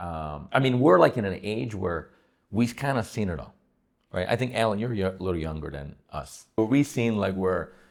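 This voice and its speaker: The voice is animated and fairly quick, in a very clean recording with a silent background. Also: man. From Italy (Sicily). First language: Italian. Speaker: real estate agent, podcast host. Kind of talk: casual chat.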